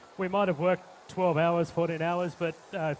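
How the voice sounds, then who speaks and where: A man's high-pitched voice, fairly quick pace and fairly even intonation amid noticeable background noise. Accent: Australian. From Australia. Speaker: chef. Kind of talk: cooking demonstration. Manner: halting, many fillers.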